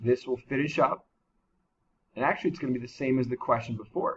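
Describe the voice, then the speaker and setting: Speaking at a very fast pace, a man has a medium pitch and a somewhat breathy voice. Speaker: math teacher. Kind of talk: tutorial.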